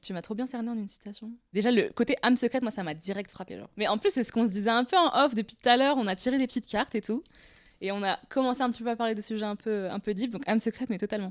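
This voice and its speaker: Delivered at a very fast pace with ordinary pitch variation, the voice has a dry, close sound with no echo on a very clean recording with a silent background. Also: woman, fairly high pitch for a woman. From Tunisia. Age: 20s. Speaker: poet and graphic designer. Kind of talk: casual interview.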